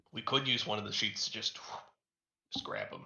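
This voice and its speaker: A put-on character voice at a fairly quick pace. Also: man. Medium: actual play.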